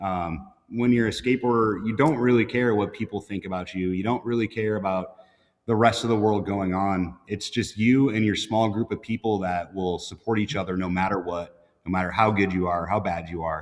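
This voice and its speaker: In an American accent, a man speaks in a normal speaking voice at a fairly low pitch. His pace is moderate, his pitch varies in an ordinary way, and the background is quiet. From North Dakota, US Midwest. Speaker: motorcycle builder and shop owner. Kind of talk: casual chat. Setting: live podcast with several hosts.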